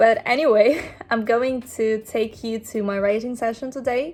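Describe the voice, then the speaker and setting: With a non-native accent, a woman talks at a fairly slow pace. Her pitch is fairly high and her intonation fairly even. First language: not English. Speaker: filmmaker and screenwriter vlogger. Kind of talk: casual vlog narration.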